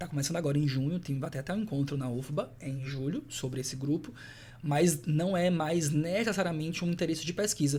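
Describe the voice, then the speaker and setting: A man with a strong Salvador accent talks fairly quickly at a fairly high pitch, with ordinary pitch variation. His tone is dark and mellow, and somewhat breathy. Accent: strong Salvador Bahian. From Salvador, Bahia, Brazil. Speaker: professor. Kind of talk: podcast interview.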